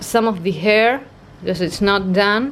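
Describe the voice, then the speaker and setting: A woman speaks with an Argentine accent. Her pace is fairly slow. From Argentina, Buenos Aires. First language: Spanish. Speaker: art vlogger. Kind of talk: casual vlog talk.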